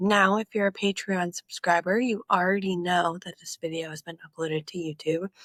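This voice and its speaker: On a very clean recording with a silent background, a woman with an unremarkable speaking voice talks at fairly low pitch with ordinary pitch variation, in a dry, close sound with no echo. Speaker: podcast host. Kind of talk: casual aside to viewers.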